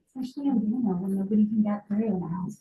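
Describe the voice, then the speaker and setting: A woman's fairly high voice, in an American accent, at a fairly quick pace. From Massachusetts, South Shore near Boston. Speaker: healthcare practitioner. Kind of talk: lecture. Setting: medical office with audience. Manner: fast.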